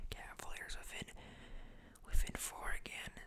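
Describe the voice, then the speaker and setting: Someone whispers at a moderate pace. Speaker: ASMR creator. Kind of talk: ASMR sports commentary. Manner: whispered.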